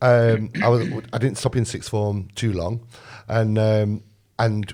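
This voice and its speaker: Dark and mellow in tone, this voice carries an East Midlands accent. The recording is very clean, with a silent background. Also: man. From Sutton-in-Ashfield, Nottinghamshire, England. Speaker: restaurant owner. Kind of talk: casual chat.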